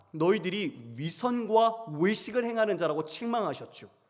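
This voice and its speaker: Very wide pitch swings at a fairly slow pace. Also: man. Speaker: pastor. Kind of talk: sermon. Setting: church.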